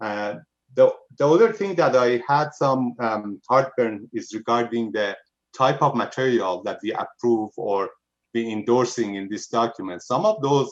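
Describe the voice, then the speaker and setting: Speaking with a non-native accent, a man uses a medium pitch at a moderate pace. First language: not English. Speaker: planning commissioner. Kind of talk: public meeting discussion. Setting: video call.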